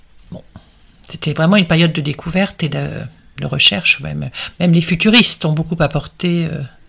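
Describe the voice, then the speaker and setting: A woman with a fairly low pitch speaks at a fairly quick pace, with ordinary pitch variation and long, frequent pauses. Noticeable background noise is present. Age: 60s. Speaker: art and design historian. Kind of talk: interview. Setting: at her home.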